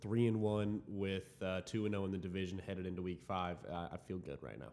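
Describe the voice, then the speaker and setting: A fairly low-pitched man with an American accent, an unremarkable speaking voice, ordinary pitch variation and a fairly quick pace, on a very clean recording with a silent background. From Dallas-Fort Worth, Texas. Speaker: student podcast host. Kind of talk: casual chat.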